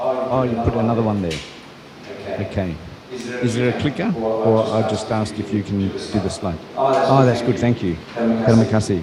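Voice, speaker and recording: A man with an Australian accent speaks at a medium pitch and a moderate pace, with ordinary pitch variation. Room echo is audible, along with noticeable background noise. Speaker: university professor. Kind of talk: lecture. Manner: hesitant, many fillers.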